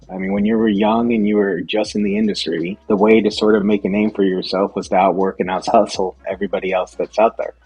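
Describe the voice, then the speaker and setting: With music in the background, a man with a fairly low pitch speaks very fast in a monotone, flat way, hardly pausing. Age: 40s. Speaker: restaurant company CEO. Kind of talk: interview.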